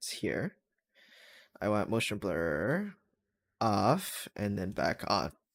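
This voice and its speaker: Very slowly and quietly, a man speaks in a very clean recording with a silent background. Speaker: streamer making launchpad light shows. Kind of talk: casual live stream, chatting while editing. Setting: live stream.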